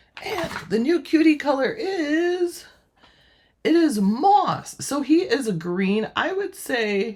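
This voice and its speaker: An animated woman talks with very wide pitch swings. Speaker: crafting YouTuber. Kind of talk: product unboxing tutorial. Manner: chatty, animated.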